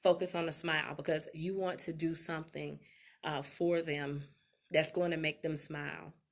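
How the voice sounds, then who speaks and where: A woman talks at a moderate pace and a fairly low pitch, in an ordinary speaking voice. The recording is very clean, with a silent background. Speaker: life coach and relationship expert. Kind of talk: live stream talk.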